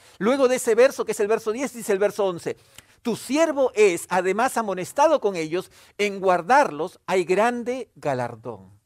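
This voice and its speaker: On a very clean recording with a silent background, a man speaks in a high pitch at a fairly slow pace, his pitch swinging very widely. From Peru. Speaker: pastor. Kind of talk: sermon.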